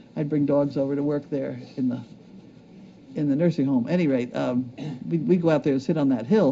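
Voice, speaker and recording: Speaking at a fairly quick pace with long, frequent pauses, the man has a fairly high-pitched voice, a dark, mellow tone and ordinary pitch variation. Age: 70s. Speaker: show host reading viewer mail. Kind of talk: casual chat, reading mail aloud.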